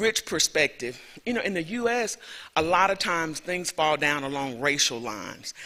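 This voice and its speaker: A man with a Southern US accent, fairly high-pitched, bright and sharp in tone, with lively intonation at a moderate pace. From US South, rural Alabama. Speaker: professor. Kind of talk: lecture.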